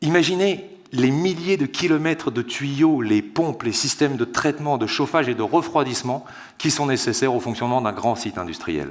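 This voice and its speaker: A man's normal speaking voice at medium pitch. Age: 30s. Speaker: water treatment engineer. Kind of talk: conference talk. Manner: formal.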